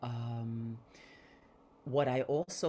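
Over light background noise, a woman with a very deep, low pitch speaks in a dark, mellow tone with ordinary pitch variation. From Puerto Rico, Bronx New York. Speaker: artist, curator, activist; panelist. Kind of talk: panel presentation. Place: home room.

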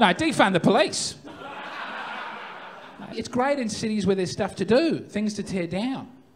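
A high-pitched man with an Australian accent, lively intonation and long, frequent pauses over noticeable background noise. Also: moderate pace. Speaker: stand-up comedian. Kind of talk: live stand-up comedy set. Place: stage. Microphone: handheld.

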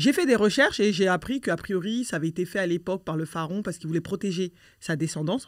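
Her pitch is medium, with ordinary variation. The woman talks at a very fast pace. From France (born in Mali, arrived as a toddler). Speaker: association president, activist against female genital mutilation. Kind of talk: conversational interview.

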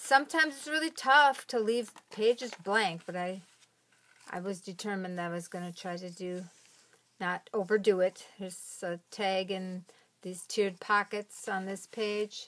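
A woman at a moderate pace, with ordinary pitch variation and big swings in loudness. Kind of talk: casual show-and-tell.

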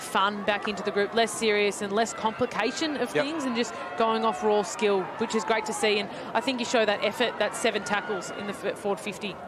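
With an Australian accent and a fairly high pitch, a woman talks fairly quickly with ordinary pitch variation over noticeable background noise. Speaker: expert summariser, co-commentator. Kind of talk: sports analysis chat. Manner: conversational, somewhat hesitant.

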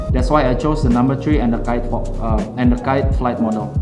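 Clear music plays in the background. A man is speaking. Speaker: darts player reviewing gear. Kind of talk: product review talk to camera. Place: home room.

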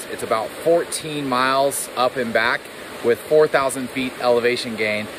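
A man with fairly even intonation, a dry sound with no echo, and noticeable background noise. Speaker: travel vlogger. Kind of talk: casual vlog chat. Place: open country. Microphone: phone near.

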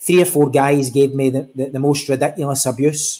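Someone with a Glaswegian accent speaks at a moderate pace. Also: man. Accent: Glaswegian Scottish. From Scotland, East End of Glasgow. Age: 40s. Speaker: football referee. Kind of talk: interview. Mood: earnest, reflective. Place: home room.

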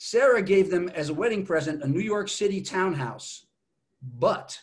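A man's high voice with lively intonation. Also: quiet background. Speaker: speaker. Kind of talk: lecture. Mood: lively storytelling. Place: home room. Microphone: video call.

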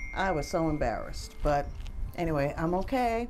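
With music in the background, a woman talks at a moderate pace using lively intonation. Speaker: vlogger. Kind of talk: casual vlog chat. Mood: amused, telling a story. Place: home room.

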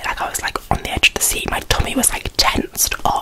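A woman whispers in a soft-spoken way. Loud background noise surrounds her. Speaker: book reviewer. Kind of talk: casual vlog chat. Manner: soft close-mic ASMR whisper. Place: home room. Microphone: studio mic.

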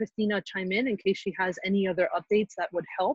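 Somewhat breathy, a woman speaks at a medium pitch. The sound is dry with no echo against a quiet background. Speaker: committee chair. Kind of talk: public meeting. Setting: video call. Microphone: video call.

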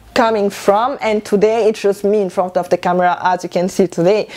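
The speaker is a woman. She has a French accent. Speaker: YouTuber and stylist. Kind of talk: casual vlog. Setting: home video. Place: home room. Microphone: lapel.

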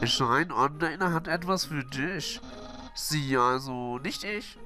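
Using a put-on character voice, a man talks at a fairly slow pace with fairly high pitch, and clear music plays in the background. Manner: loud, enthusiastic.

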